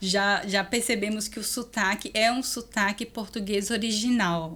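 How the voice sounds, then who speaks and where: Her bright, sharp tone sits at a fairly high pitch as the woman speaks fairly slowly with fairly even intonation. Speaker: podcast host and lawyer. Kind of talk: podcast interview.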